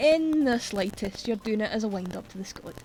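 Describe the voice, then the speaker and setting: A woman speaks in a Scottish accent. Her pitch variation is ordinary. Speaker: streamer. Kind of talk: casual chat. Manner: animated.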